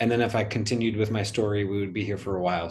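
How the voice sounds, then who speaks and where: This is a man speaking with an American accent. Some room echo can be heard. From US Midwest, Kansas. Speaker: energy healing practitioner. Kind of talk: interview, casual chat.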